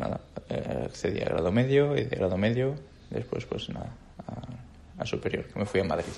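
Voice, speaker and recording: A man's fairly low-pitched voice with lively intonation. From Andalusia, Jaén (Bailén). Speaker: orchestral clarinetist. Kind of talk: casual interview chat. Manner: halting, with frequent repetitions.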